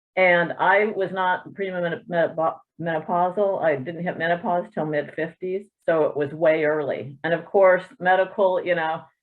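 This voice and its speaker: This woman has a normal speaking voice with a fairly low pitch. She talks at a moderate pace with fairly even intonation. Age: 60s. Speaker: triathlete webinar participant. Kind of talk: personal testimony. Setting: video call.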